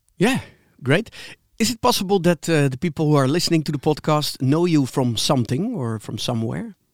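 A man's fairly high-pitched voice at a fairly quick pace, with very wide pitch swings, in a very clean, dry, close recording with a silent background and no echo. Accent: Dutch. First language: Dutch. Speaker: podcast co-host. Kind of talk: interview.

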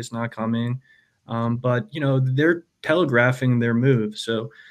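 At a fairly slow pace, a man with an American accent talks in a normal speaking voice at medium pitch. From United States. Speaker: Lightning project founder. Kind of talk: casual chat.

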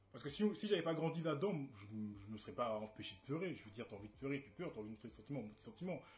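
Talking very fast with hardly any pauses, a man at medium pitch sounds somewhat breathy as his voice makes very wide pitch swings. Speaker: debate stream host. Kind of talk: casual debate livestream. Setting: livestream with webcam. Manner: animated.

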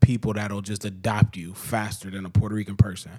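A man talks with a fairly low pitch. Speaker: podcast co-host. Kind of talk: casual chat. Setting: home basement studio. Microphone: echo and reverb.

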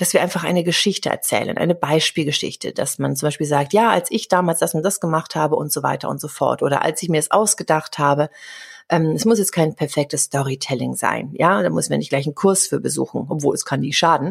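A woman talks at a fairly quick pace with a very deep, low pitch, ordinary pitch variation and vocal fry. The recording is very clean, with a silent background. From Germany. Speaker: communication coach. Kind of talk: interview.

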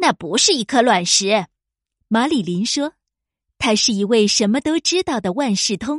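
Lively intonation runs through an unforced reading voice against a quiet background.

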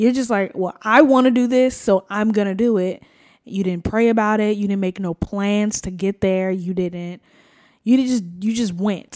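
In an American accent, a woman with a medium-pitched, unremarkable speaking voice talks at a moderate pace with fairly even intonation on a very clean recording with a silent background. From New Jersey. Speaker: podcast co-host. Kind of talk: casual chat. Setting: home studio.

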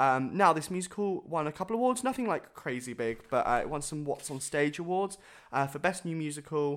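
A man with a southern English accent speaks at a fairly quick pace with ordinary pitch variation. The recording is very clean with a silent background. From southern England (Bournemouth). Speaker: podcast co-host, musical theatre performer. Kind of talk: casual chat.

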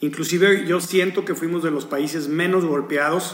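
A man with a Mexican accent speaks at a fairly high pitch over noticeable background noise. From Mexico. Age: 50s. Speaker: hotel executive. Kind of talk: interview. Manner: halting, repeats words.

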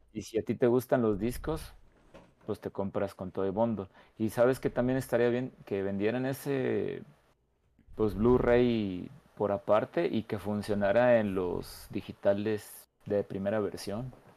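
A man with a Mexican accent speaks in a fairly low, dark, mellow voice with fairly even intonation, recorded very cleanly against a silent background. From Mexico, San Luis Potosí. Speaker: podcast co-host. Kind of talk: casual chat.

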